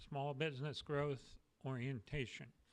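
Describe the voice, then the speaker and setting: A man talks at a fairly slow pace, his fairly high pitch carrying a bright, sharp tone. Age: 60s. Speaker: business mentor. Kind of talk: webinar presentation. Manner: hesitant with frequent fillers.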